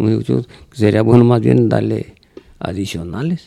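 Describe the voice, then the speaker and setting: A man's fairly low, dark, mellow voice at a moderate pace, with a dry, close sound and no echo. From Mexico, Tonalá, Jalisco (rural). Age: old. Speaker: charreria judge. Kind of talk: casual interview chat.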